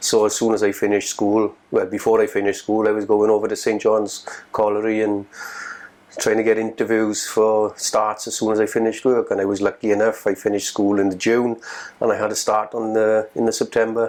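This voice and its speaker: In a South Wales accent, a man with a fairly low pitch speaks at a fairly quick pace with monotone, flat intonation. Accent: South Wales Welsh English. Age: 50s. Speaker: former coal miner. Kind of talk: oral history interview. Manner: halting.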